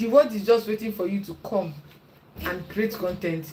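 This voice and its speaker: A woman with a strong Nigerian accent at a fairly quick pace, ordinary pitch variation and noticeable background noise. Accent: thick Igbo Nigerian. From Nigeria (Igbo). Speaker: YouTuber and content creation coach. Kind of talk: casual advice talk to camera. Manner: animated, encouraging.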